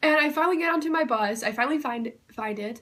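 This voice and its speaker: A woman speaks loudly, her pitch swinging very widely. Her tone is bright and sharp. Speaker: YouTuber. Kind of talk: personal storytelling. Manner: casual with many fillers.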